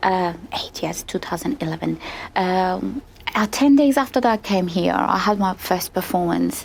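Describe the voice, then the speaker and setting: A woman with a Persian accent at a medium pitch, lively intonation and a moderate pace, over noticeable background noise. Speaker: opera singer. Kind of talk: interview. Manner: halting.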